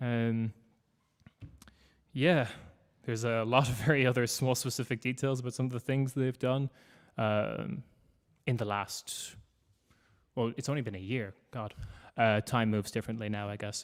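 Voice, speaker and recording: A man with an Irish accent speaks at medium pitch and a moderate pace, with fairly even intonation and long, frequent pauses. The recording is very clean against a silent background. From Ireland. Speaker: podcaster. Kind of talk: panel talk.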